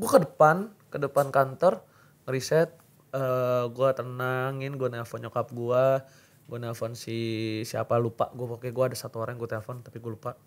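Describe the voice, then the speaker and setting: Big swings in loudness mark a man's speech, delivered at a moderate pace with fairly even intonation. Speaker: esports caster; podcast host. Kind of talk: casual chat. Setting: studio. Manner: loud, fiery. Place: studio. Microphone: studio mic.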